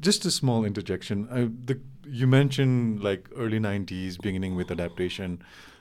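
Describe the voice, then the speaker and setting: A man with a Nepali accent at a fairly low pitch, with ordinary pitch variation and a fairly quick pace, on a very clean recording with a silent background. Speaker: interviewer, policy think tank director. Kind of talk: interview conversation.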